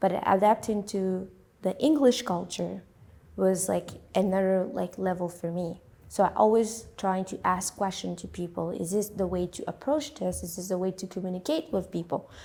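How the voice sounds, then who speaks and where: In a French accent, a woman speaks at a moderate pace with medium pitch, ordinary pitch variation and vocal fry. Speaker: immigrant, interviewee. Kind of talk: interview testimony. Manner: halting, with many fillers and repetitions.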